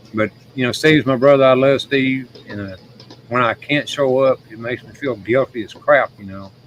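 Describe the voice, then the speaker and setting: With noticeable background noise and big swings in loudness, a man speaks at a medium pitch and a moderate pace. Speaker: streamer and show guest. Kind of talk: casual chat. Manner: halting, sometimes slurred speech.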